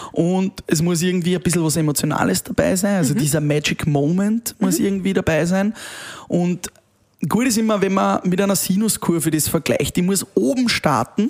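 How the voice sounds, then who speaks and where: The speaker keeps a moderate pace with very even loudness and ordinary pitch variation. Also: man, high pitch for a man. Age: 30s. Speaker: event host and DJ. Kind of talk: casual interview.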